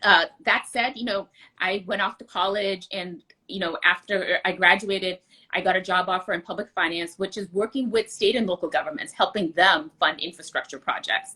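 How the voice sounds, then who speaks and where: A woman with a bright, sharp tone speaks with ordinary pitch variation. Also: medium pitch for a woman, moderate pace. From US, immigrant from India as a child. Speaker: political candidate. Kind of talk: interview.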